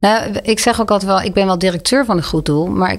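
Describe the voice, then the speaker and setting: The voice moves at a very fast pace with ordinary pitch variation. Vocal fry runs through it. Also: woman. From Netherlands, Leiden. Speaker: charity director. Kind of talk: interview conversation.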